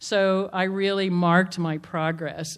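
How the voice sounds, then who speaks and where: A woman with an unremarkable speaking voice talks at a fairly low pitch with fairly even intonation, in a very clean recording with a silent background. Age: 60s. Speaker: motivational speaker and entrepreneur. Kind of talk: public talk.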